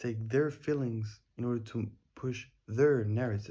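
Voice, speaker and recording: A man speaks with a non-native accent, sounding somewhat breathy. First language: not English. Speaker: daily vlogger. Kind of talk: casual monologue. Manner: halting.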